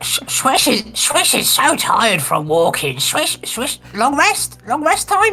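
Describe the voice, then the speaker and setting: A high-pitched, put-on character voice speaks at a fairly slow pace. Faint music plays in the background. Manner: silly.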